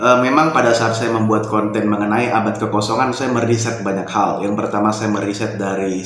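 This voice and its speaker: A fairly low-pitched man speaks amid noticeable background noise and audible room echo. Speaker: YouTube commentator. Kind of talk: casual monologue commentary. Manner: relaxed.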